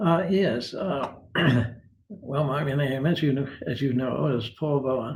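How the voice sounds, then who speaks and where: Somewhat breathy, a man speaks at a fairly high pitch and a very slow pace with ordinary pitch variation, with audible room echo. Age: 80s. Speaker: retired philosopher. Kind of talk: interview. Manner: halting.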